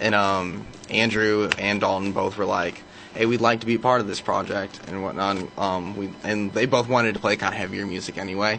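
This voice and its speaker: A man speaks at a fairly quick pace and fairly low pitch, in a monotone, flat intonation. Noticeable background noise sits behind him. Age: 20s. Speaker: band vocalist. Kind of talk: casual interview chat. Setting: radio studio.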